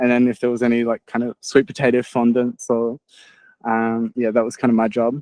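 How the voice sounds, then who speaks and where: Speaking fairly quickly with an Australian accent, a man keeps a medium pitch. His tone is dark and mellow, his intonation monotone and flat. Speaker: podcast host. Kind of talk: casual chat. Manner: halting, many fillers.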